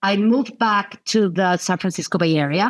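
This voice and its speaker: A woman speaks with a Mexican accent. Her pitch sits in the middle range. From Mexico City. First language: Spanish. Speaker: nonprofit founder and CEO. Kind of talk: podcast interview.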